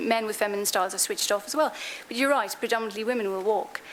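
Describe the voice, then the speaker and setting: Speaking with an Irish accent, a woman has a fairly high pitch. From Ireland. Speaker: diversity consultant / conference speaker. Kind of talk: conference Q&A answer.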